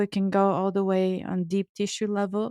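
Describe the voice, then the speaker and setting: A woman with a Bulgarian accent at a medium pitch and fairly slow pace, dry and close with no echo, in a very clean recording with a silent background. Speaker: Ayurvedic chef and author. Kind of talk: podcast interview. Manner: halting, repeats words.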